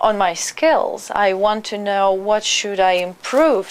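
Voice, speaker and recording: A woman speaks at a medium pitch in a Russian accent. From Russia (Perm). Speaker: immigrant, trained journalist. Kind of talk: interview. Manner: halting.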